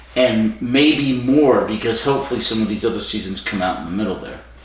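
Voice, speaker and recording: A man with an American accent speaks fairly quickly at a medium pitch, with ordinary pitch variation. Noticeable background noise and audible room echo fill the recording. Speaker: podcast co-host. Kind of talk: casual chat. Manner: projects voice, stage presence.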